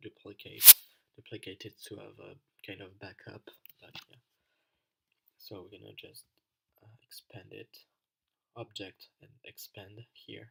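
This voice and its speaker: Fairly slow speech with a non-native accent. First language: not English. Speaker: design tutorial creator. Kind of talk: tutorial. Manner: halting, many fillers. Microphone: poor microphone, keyboard audible.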